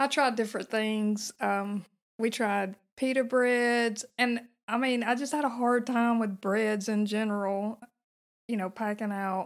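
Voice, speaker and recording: A normal speaking voice at a fairly slow pace, with fairly even intonation, in a very clean recording over a silent background. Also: woman, fairly high pitch for a woman. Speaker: long-distance hiker guest. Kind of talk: casual interview chat. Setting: vacant house studio.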